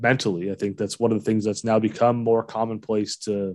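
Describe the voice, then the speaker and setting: A man with a Canadian accent has an unremarkable speaking voice at a medium pitch. He talks at a fairly quick pace over a quiet background. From Ontario, London. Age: 30s. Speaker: podcast host. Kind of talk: casual chat.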